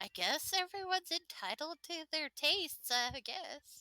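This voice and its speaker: A woman performs a put-on character voice at an extremely high pitch, with lively intonation and a moderate pace. The sound is dry and close, with no echo. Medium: actual play.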